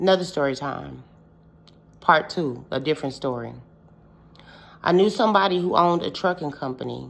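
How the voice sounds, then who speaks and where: A woman speaks with vocal fry in a very deep, low pitch, her tone animated and her intonation lively. Her pace is fairly quick, broken by long, frequent pauses. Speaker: witch, storytelling vlogger. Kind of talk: casual storytelling vlog.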